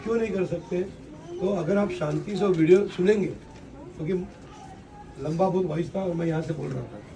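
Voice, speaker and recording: With a Marathi accent and a high pitch, a man talks at a moderate pace with ordinary pitch variation and long, frequent pauses, amid audible room echo and noticeable background noise. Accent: Marathi-accented Hindi. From Maharashtra, India. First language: Marathi (speaking Hindi). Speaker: local election candidate, politician. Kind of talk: campaign speech to residents.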